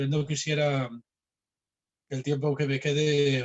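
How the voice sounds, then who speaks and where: A man's voice at a medium pitch. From Spain. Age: 60s. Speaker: philosophy professor. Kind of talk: lecture. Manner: hesitant with fillers.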